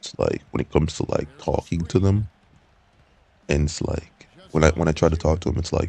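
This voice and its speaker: Long, frequent pauses break up fairly even speech, recorded with a dry, close sound and no echo over noticeable background noise. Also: man, very deep, low pitch for a man. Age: 20s. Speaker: vlogger. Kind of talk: personal monologue vlog. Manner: halting, many fillers and repeats.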